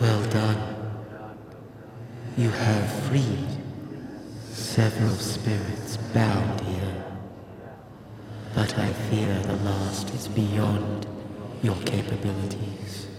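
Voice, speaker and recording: A man with a fairly low pitch uses a put-on character voice at a very slow pace, with clear echo and clear background noise. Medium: actual play. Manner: formal, solemn, archaic phrasing.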